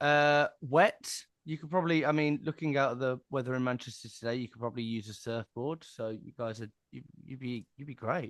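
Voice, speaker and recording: A man with a strong Cockney accent, fairly quick, big swings in loudness, ordinary pitch variation, and a dry, close sound with no echo. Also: medium pitch for a man. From southern England. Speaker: sales agency director and author. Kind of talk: casual interview chat.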